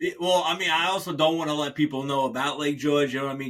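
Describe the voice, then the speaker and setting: The speaker has a New York accent and an animated tone. The pace is very fast. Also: man. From New York City, Staten Island. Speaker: podcast host. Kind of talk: casual podcast interview. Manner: casual, animated.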